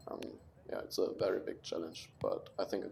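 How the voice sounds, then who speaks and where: A man with a German accent at a moderate pace. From Germany. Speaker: college soccer player. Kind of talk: interview. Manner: hesitant, many fillers.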